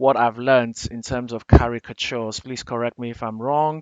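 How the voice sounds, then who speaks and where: With an African accent, a man speaks in fairly even intonation. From Nigeria. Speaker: digital artist, t-shirt designer. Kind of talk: tutorial. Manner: casual, thinking aloud with fillers.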